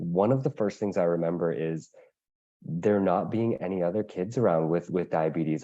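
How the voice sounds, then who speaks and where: A man with a Canadian accent speaks at a fairly quick pace in a very deep, low pitch with a dark, mellow tone, against a quiet background. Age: 30s. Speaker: patient advocate living with diabetes. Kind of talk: webinar panel talk.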